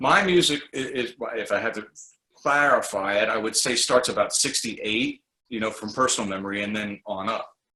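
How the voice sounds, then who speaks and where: Using an ordinary speaking voice, a man talks at a medium pitch with ordinary pitch variation. He moves at a fairly quick pace. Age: 60s. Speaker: writer and former radio host. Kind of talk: casual interview. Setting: video call.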